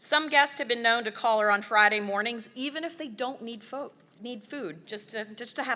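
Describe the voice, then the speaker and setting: At a moderate pace, this voice has a bright, sharp tone and a Southern US accent. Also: woman. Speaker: nonprofit staff member presenting volunteer awards. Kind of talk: award presentation speech.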